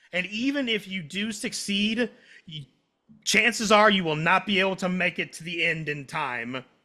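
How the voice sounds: At a moderate pace, a man speaks in a high, bright, sharp voice with lively intonation.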